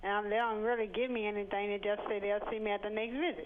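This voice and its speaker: A woman speaks over noticeable background noise. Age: 40s. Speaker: caller. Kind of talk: call-in question.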